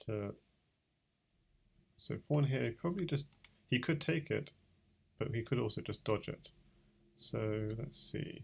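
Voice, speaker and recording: In a British accent, the speaker talks at a fairly slow pace with long, frequent pauses. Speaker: chess streamer. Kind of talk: live game commentary. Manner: thinking aloud, hesitant with fillers.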